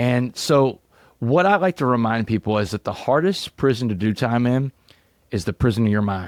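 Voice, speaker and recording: An ordinary speaking voice from a man with an American accent, medium-pitched and lively in intonation, at a moderate pace, with a dry, close sound with no echo on a very clean recording over a silent background. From Southeast Texas. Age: 40s. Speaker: motivational speaker, former prisoner. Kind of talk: podcast interview.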